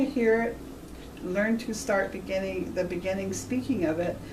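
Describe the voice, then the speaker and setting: A woman speaks at a moderate pace with ordinary pitch variation. There is audible room echo and noticeable background noise. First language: Washoe. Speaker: Native language teacher. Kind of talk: interview.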